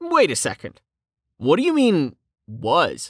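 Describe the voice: A woman's put-on character voice, low-pitched with very wide pitch swings and a slightly husky edge, slow, on a very clean recording with a silent background.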